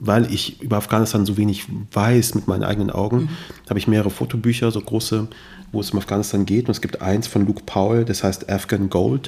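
Using an ordinary speaking voice, a man talks at a fairly quick pace and fairly low pitch, with ordinary pitch variation. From Germany, Kassel (Hesse). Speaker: podcaster and journalist. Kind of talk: interview conversation.

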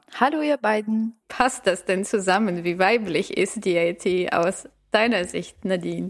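A woman speaks at a fairly slow pace in an ordinary speaking voice, medium in pitch with ordinary pitch variation. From Bulgaria. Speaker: podcast host, agile coach. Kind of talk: casual chat.

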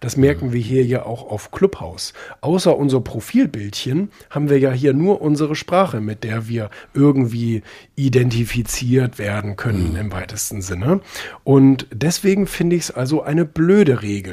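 At a moderate pace, a man speaks at medium pitch with very wide pitch swings, a dark, mellow tone and a somewhat breathy quality. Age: young. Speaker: magazine publisher and author. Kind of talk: casual interview. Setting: live social audio room. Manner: hesitant, many filler sounds.

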